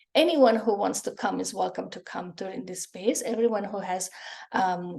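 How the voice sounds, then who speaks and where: At a moderate pace, a woman with a medium pitch and vocal fry speaks with ordinary pitch variation. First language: Spanish. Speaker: psychic energy healer. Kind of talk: group healing session talk. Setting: video call. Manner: halting.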